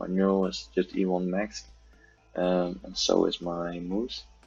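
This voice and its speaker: Music sits in the background. Over it a man talks in a very deep, low pitch with monotone, flat intonation. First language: not English. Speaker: gaming youtuber. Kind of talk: game tutorial. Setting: at home. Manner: halting, many fillers. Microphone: poor audio quality.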